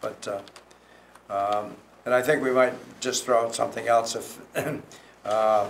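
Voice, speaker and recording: Over noticeable background noise, a man with a medium pitch talks at a moderate pace in a flat monotone, leaving long, frequent pauses. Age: 80s+. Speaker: property developer. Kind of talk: public meeting comment. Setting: town planning commission meeting.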